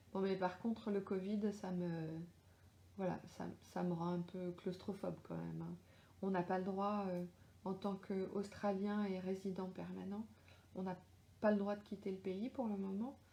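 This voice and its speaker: A woman speaks at medium pitch in a dark, mellow, somewhat breathy tone with monotone, flat intonation. Her fairly slow pace is broken by long, frequent pauses. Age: 40s. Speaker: crime novelist. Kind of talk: live Q&A chat. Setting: Facebook live stream. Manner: hesitant, many fillers.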